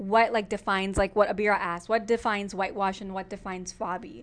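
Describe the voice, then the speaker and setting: A woman's medium-pitched, fairly even voice with an American accent, a normal speaking voice against a quiet background. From United States, born in Pakistan. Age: 20s. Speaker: podcast co-host. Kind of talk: casual chat.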